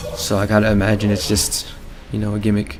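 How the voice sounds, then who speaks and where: Music plays in the background as a man speaks in a breathy voice. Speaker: gaming video creator. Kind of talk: let's play commentary. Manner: casual, rambling.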